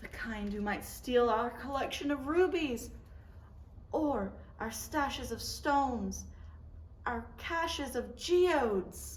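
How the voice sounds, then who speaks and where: A squeaky put-on character voice from a woman, high-pitched with lively intonation, fairly slow with long, frequent pauses, against light background noise. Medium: read story. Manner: frantic.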